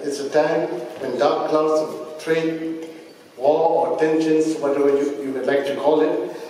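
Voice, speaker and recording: A man's fairly slow, monotone, flat speech with strong room echo and light background noise. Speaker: government minister. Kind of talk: formal speech. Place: hall. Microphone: podium.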